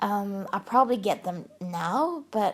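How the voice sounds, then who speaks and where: A somewhat breathy woman's voice at medium pitch, very slow, with lively intonation. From Sweden. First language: Swedish. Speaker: YouTube crafting vlogger. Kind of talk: casual chat. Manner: halting.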